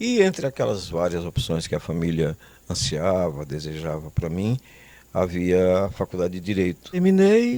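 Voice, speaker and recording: The voice has a dark, mellow tone and moves at a moderate pace with ordinary pitch variation. The recording is very clean, with a silent background. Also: man, very deep, low pitch for a man. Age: 70s. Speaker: comedy writer. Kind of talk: interview. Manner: halting.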